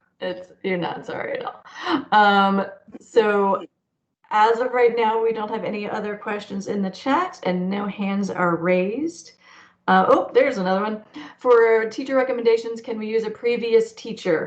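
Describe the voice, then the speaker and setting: A woman's plain, everyday voice at a moderate pace, with ordinary pitch variation and big swings in loudness. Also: fairly high pitch for a woman. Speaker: arts school coordinator. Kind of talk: online information session Q&A.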